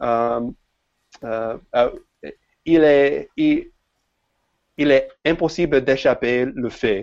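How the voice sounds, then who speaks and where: A man speaks very slowly with an English accent. His pitch sits in the medium range. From United States. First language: English (speaking French). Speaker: software developer. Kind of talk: podcast interview. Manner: halting, many hesitations.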